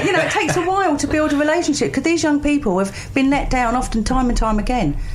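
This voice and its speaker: Noticeable background noise sits behind a woman with a high pitch and an upbeat tone. She talks at a very fast pace with very even loudness. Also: lively intonation. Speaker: charity recruiter and volunteer coordinator. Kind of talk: radio interview answer. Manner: chatty, upbeat, conversational.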